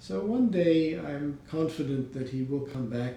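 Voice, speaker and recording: An American-accented man talks at a fairly slow pace with ordinary pitch variation. Room echo can be heard. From New York (Riverdale, Bronx). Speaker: interviewee, retiring businessman. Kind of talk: oral history interview. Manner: halting, many fillers.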